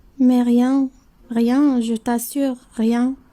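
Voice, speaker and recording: Using a put-on character voice, a woman speaks very slowly in a high pitch with monotone, flat intonation. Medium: read story.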